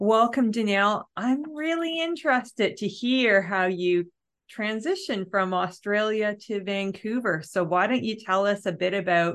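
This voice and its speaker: In an ordinary speaking voice with a Canadian accent, the speaker goes at a fairly slow pace with lively intonation against a quiet background. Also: woman. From Ontario, Canada. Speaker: podcast host. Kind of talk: interview.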